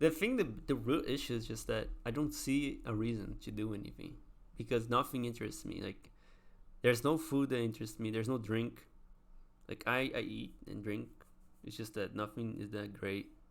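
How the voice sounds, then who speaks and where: A man with a non-native accent talks at a moderate speed. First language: not English. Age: 20s. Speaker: vlogger. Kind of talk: casual monologue. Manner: halting.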